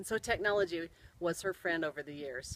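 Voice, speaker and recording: A woman with an American accent and very wide pitch swings, on a very clean recording with a silent background. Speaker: storyteller. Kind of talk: personal storytelling.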